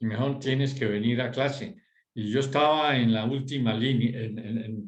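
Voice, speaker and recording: With ordinary pitch variation, a man talks in a French accent amid audible room echo. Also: medium pitch for a man, moderate pace. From Europe, French-speaking; grew up partly in Bogotá. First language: French (speaking Spanish). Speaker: former schoolmate in group discussion. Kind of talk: casual group discussion. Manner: halting, with many fillers.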